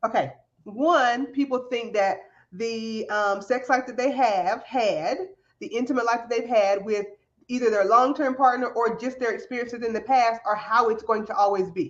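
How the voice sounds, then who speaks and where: In a Southern US accent, a woman with a fairly high pitch speaks with ordinary pitch variation. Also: moderate pace, quiet background. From US South. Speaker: podcast host. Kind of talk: show introduction; interview. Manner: animated.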